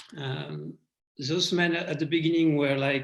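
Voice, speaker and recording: With a French accent, this speaker delivers words at a fairly slow pace. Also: man. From France. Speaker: award recipient. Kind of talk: acceptance speech. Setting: video call. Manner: halting.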